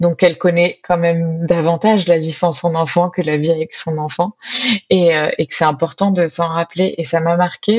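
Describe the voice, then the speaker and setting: A woman with a fairly low voice talks at a moderate speed. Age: 30s. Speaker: author and sociologist. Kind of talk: interview testimony. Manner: hesitant.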